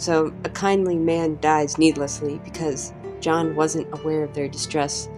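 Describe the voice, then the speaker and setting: There is music in the background. A woman speaks fairly slowly over it. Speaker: TV show reviewer. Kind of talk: spoken video review.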